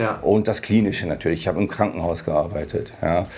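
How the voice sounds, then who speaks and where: A man's very deep, low-pitched voice. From Germany, Hannover. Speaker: oral surgeon. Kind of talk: casual interview.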